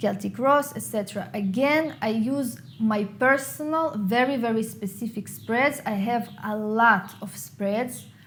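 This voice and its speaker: With an Israeli accent, a woman speaks at a fairly slow pace and fairly high pitch, with ordinary pitch variation and hardly any pauses. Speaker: tarot reader and YouTuber. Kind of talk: Q&A video monologue.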